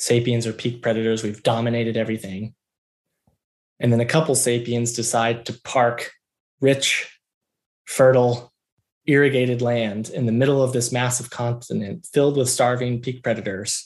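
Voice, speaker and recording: A man speaks with an American accent at a moderate pace. His intonation is monotone and flat. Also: medium pitch for a man. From US South, Georgia. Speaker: military officer and researcher. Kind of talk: long-form interview.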